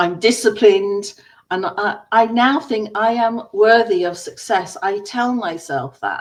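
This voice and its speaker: A woman speaks in an English accent at a fairly slow pace. Her pitch is medium, with ordinary variation. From England. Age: 60s. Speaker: business coach. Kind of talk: personal story.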